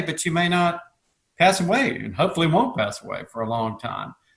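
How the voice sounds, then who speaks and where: A normal speaking voice from a man with an American accent, lively intonation and a moderate pace. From US South, Georgia. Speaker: lawyer. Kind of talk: radio interview discussion. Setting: remote interview.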